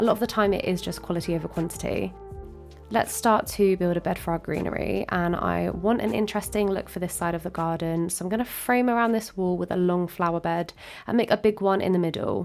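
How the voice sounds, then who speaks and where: Over music in the background, a woman talks at a fairly quick pace, her fairly low pitch showing ordinary variation. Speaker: Minecraft builder. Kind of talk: tutorial voiceover.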